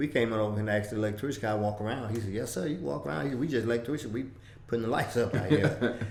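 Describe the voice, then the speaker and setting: With a fairly low pitch and lively intonation, a man speaks at a very fast pace amid audible room echo and noticeable background noise. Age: 70s. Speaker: civil rights veteran. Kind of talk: interview. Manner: halting.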